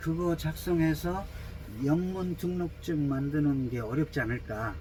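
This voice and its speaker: A man speaks with a high voice and ordinary pitch variation. Background noise is noticeable. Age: 70s. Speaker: travel vlogger. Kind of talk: vlog walkthrough. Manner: halting, many fillers.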